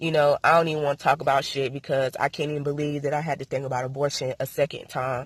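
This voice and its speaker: Fairly quick, somewhat breathy delivery in a monotone, flat intonation, with a dry, close sound and no echo. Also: woman. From US South, North Carolina. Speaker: vlogger. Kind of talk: personal vlog monologue.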